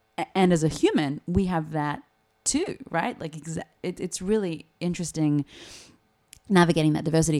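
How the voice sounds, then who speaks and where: The voice has a dark, mellow tone and an Australian accent, with long, frequent pauses. The recording is very clean, with a silent background. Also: woman, fairly low pitch for a woman, ordinary pitch variation, moderate pace. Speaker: actor and playwright, speech coach. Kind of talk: casual chat. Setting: studio.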